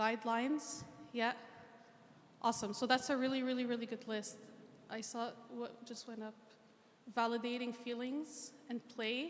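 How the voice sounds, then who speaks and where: A woman with a high voice and a Canadian accent, monotone and flat, at a moderate pace with long, frequent pauses and noticeable background noise. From Egypt, then Montreal and Ottawa, Canada from childhood. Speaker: mental health clinician. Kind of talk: interactive talk.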